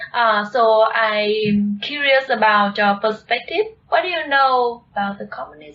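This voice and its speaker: A woman at a fairly high pitch, with a moderate pace and ordinary pitch variation. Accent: Vietnamese. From Vietnam. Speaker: video channel co-host. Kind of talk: conversational discussion.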